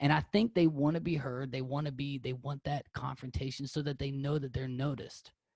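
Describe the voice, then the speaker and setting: In an American accent, a man speaks at a fairly high pitch, somewhat breathy, with fairly even intonation. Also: fairly quick pace, hardly any pauses. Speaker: podcast host. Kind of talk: casual interview.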